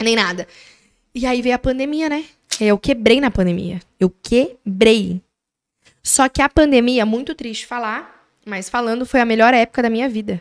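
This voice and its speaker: Over a quiet background, a woman with a fairly high pitch speaks at a moderate pace with ordinary pitch variation. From Brazil, Mogi das Cruzes; Brazil. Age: 20s. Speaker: manicurist and business owner; podcast guest. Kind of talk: interview storytelling. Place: studio. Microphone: studio mic.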